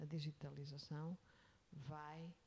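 A woman speaks with a European Portuguese accent and a very deep, low pitch. Her tone is dark and mellow, and somewhat breathy. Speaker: executive search consultant. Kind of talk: interview. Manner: halting.

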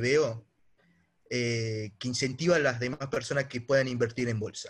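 On a very clean recording with a silent background, a man speaks at a fairly slow pace with a medium pitch and a normal speaking voice. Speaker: young investor caller. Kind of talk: casual conversation.

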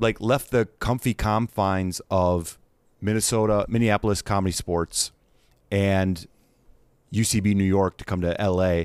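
A man with an American accent and a fairly low pitch talks in a plain, everyday voice at a moderate pace, with fairly even intonation and very even loudness, on a very clean recording with a silent background. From Wisconsin, US Midwest. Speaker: actor and comedian. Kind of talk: casual chat.

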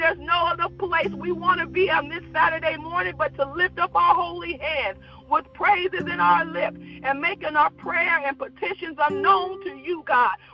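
An animated tone carries along at a moderate pace, with music in the background. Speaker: prayer leader. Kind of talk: fervent prayer. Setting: Saturday morning prayer podcast. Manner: fervent, repetitive, rhythmic cadence; excitable, animated.

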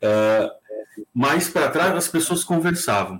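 His pitch swings very widely as the man talks. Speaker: radio broadcaster, human behaviour specialist. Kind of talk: casual chat.

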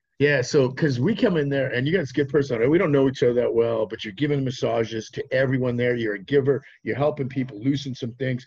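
A man talks at a very fast pace with hardly any pauses. His voice is somewhat breathy, with ordinary pitch variation. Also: medium pitch for a man. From Saskatchewan, Canada. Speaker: podcast host. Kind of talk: casual chat. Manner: animated.

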